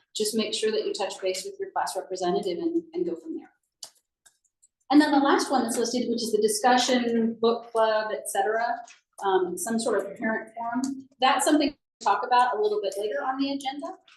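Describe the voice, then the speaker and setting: Here is a woman with a normal speaking voice and a fairly high pitch. She talks at a fairly quick pace with lively intonation. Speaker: parent association meeting leader. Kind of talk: meeting presentation. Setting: in-person meeting, also on Zoom.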